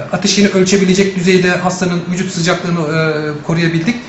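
Audible room echo and light background noise surround the man as he talks. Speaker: neonatal intensive care doctor. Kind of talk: press statement. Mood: calm, measured, factual. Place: office.

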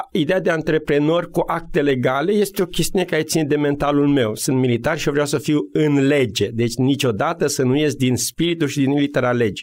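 A man's ordinary speaking voice, fairly high in pitch, at a fairly quick pace, with ordinary pitch variation and very even loudness. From Romania, Maramureș. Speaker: military officer and business coach. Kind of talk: radio interview.

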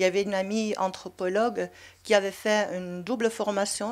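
Speaking with a Dutch accent, a woman keeps a medium pitch and fairly even intonation at a moderate pace. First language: Dutch (speaking French). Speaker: anthropologist; panelist. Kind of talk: panel discussion. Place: hall. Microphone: handheld.

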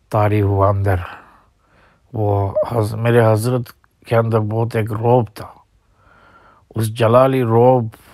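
On a very clean recording with a silent background, a man talks at a medium pitch in a monotone, flat intonation, leaving long, frequent pauses. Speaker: Islamic scholar recounting memories of his spiritual mentor. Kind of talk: personal reminiscence. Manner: halting.

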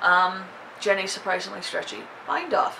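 With faint background noise behind her, a woman talks at a moderate pace in a bright, sharp tone.

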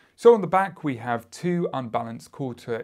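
A man speaks against a quiet background. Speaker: product reviewer. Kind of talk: product review. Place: studio.

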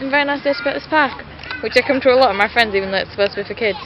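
With music in the background, a woman speaks with ordinary pitch variation in a dry sound that has no echo. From England. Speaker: vlogger. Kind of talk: casual vlog talk to camera. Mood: cheerful, playful. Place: garden. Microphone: phone near.

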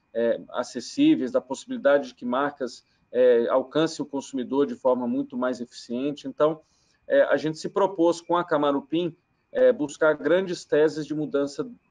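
A man is speaking at a moderate pace. It's quiet in the background. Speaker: remote guest. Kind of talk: interview answer. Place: home room. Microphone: video call.

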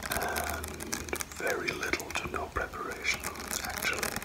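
A man is whispering. He is soft-spoken. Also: fairly slow pace. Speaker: ASMR creator. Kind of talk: soft-spoken ASMR chat. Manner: soft ASMR whisper. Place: home room. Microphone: phone near.

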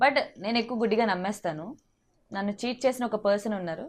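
Fairly high in pitch with ordinary variation, this woman has an unremarkable speaking voice. The background is quiet. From Andhra Pradesh, Vizag. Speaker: actress and TV comedian. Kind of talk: interview.

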